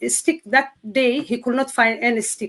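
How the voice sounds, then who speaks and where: This woman has a high-pitched voice and speaks with a Somali accent. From Somalia. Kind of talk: testimony. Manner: halting.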